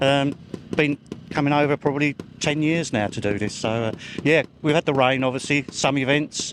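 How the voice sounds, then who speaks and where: Noticeable background noise sits behind a man speaking at a moderate pace and fairly high pitch. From England, Essex. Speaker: motorsport mechanic and trials rider. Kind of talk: casual interview. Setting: outdoors.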